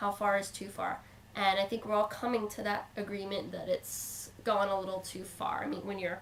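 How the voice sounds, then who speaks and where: A woman speaks at a moderate pace in a monotone, flat intonation over noticeable background noise. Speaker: video blogger. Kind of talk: casual vlog commentary. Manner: hesitant, with fillers.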